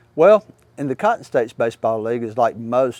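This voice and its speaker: Here a man speaks with a Mississippi accent. His pitch sits in the medium range. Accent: Southern US (Mississippi). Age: 60s. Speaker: baseball coach. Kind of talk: interview monologue. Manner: halting, many fillers.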